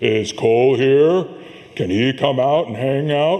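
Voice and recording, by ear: This is a put-on character voice. Light background noise can be heard. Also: man, medium pitch for a man, fairly slow pace.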